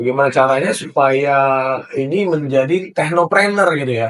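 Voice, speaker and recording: This is a man with a fairly high voice. His pitch varies in an ordinary way. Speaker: university lecturer. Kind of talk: casual interview.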